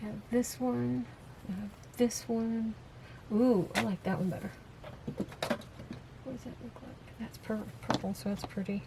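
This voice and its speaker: Fairly slow speech in an American accent, with very wide pitch swings, big swings in loudness and noticeable background noise. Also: woman, medium pitch for a woman. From US South, Florida and Texas. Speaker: crafter. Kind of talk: crafting tutorial. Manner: casual, chatty.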